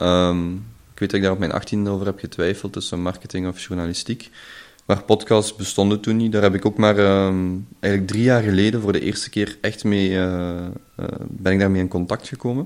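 Using a plain, everyday voice, a man talks fairly quickly at a fairly low pitch with fairly even intonation. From Belgium, Limburg. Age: 20s. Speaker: podcast host and entrepreneur. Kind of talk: casual interview chat.

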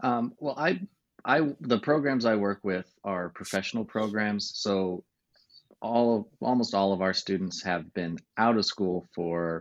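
In an ordinary speaking voice, a man talks at a fairly low pitch with ordinary pitch variation against a quiet background. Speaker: university education director.

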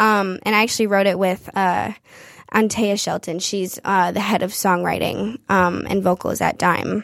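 Over a silent background in a very clean recording, a woman with a Midwestern accent speaks at medium pitch and a fairly slow pace, her intonation monotone and flat. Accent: general American, Midwestern. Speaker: singer-songwriter. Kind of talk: casual interview chat. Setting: studio.

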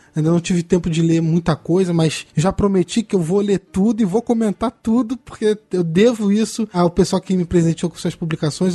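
At a fairly quick pace, a man talks in a high pitch with ordinary pitch variation, the sound dry and close with no echo. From Petrópolis, Rio de Janeiro state, Brazil. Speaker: comics podcast co-host and journalist. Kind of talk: casual chat.

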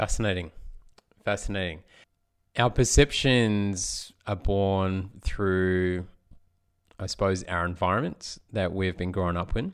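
A man's very deep, low voice at a fairly slow pace, fairly even in intonation, with long, frequent pauses, on a very clean recording with a silent background. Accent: Australian. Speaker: podcast host. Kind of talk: interview.

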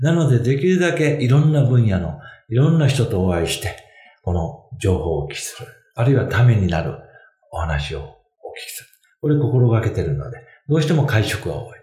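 Vocal fry marks a man's medium-pitched voice, which swings very widely in pitch at a fairly quick pace. Room echo is audible. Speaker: financial consultant. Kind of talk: casual chat. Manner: halting with many fillers.

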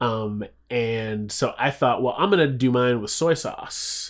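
Man with an American accent at a fairly slow pace, in a very clean recording with a silent background. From US, Philadelphia and Chicago's South Side. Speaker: interview guest, community media worker. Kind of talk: casual interview chat. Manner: animated.

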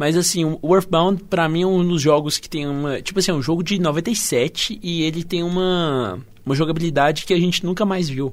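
A man speaks at a moderate pace with hardly any pauses, his high-pitched voice showing ordinary pitch variation. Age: 20s. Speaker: podcast co-host. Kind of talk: casual chat.

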